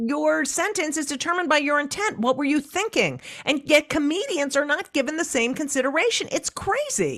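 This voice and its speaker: This woman has a high voice, lively intonation and an animated tone. She talks at a moderate pace with hardly any pauses. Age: 60s. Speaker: comedian and author. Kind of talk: interview.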